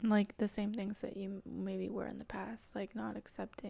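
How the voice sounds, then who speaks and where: Someone is whispering, soft-spoken, at a fairly slow pace. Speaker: spiritual channeler. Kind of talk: guided meditation. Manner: whispery.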